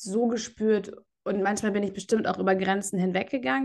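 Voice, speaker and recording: A woman speaks in a normal speaking voice at medium pitch. Her pace is fairly quick. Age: 30s. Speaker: yoga teacher and podcast co-host. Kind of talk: casual chat.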